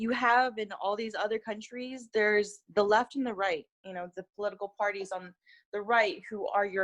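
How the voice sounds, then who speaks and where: This woman talks at a moderate pace with a medium pitch. She speaks with a Californian accent. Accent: Californian American English. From California, US (Korean-American family). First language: Korean. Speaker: youth activist. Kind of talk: interview.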